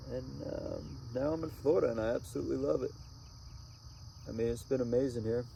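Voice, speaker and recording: A man with an American accent talks at a fairly quick pace, pausing long and often. Audible room echo surrounds his voice. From Connecticut, US. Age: 20s. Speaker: RV traveler vlogger. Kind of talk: casual vlog monologue. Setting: outdoors at sunset.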